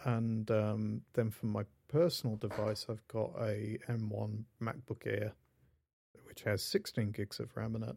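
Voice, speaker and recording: A British man with a fairly low pitch and a dark, mellow tone speaks at a fairly slow pace with fairly even intonation, on a very clean recording with a silent background. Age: 40s. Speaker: podcast host, indie developer. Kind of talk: casual chat.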